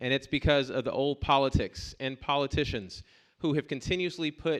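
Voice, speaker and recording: A man with an American accent has an ordinary speaking voice, pitched fairly high. He talks at a moderate pace against a quiet background. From US South, Columbus, Georgia. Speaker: political candidate. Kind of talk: campaign speech at forum.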